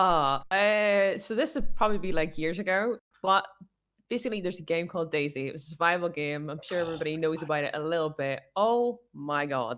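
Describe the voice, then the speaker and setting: Fairly quick, lively speech from a woman with a Northern Irish accent at a fairly low pitch. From Northern Ireland. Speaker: streamer. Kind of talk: casual chat. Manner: animated.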